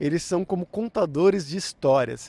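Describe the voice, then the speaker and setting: In a São Paulo accent, a man with a dark, mellow tone speaks at a moderate pace with lively intonation, the sound dry with no echo. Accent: São Paulo Brazilian Portuguese. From Brazil, São Paulo. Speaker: language teacher, YouTuber. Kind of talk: tutorial. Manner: clear, measured for learners; casual, upbeat. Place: garden. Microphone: handheld.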